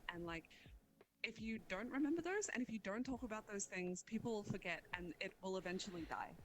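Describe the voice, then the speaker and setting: A woman speaks with an Australian accent at a medium pitch. Her pace is fairly quick and her intonation lively. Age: 20s. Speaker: streamer. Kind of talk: casual interview chat.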